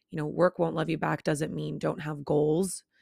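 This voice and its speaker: In a very clean recording with a silent background, a woman's fairly low voice carries vocal fry in a dry, close sound with no echo. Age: 20s. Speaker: podcast host. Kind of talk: casual monologue.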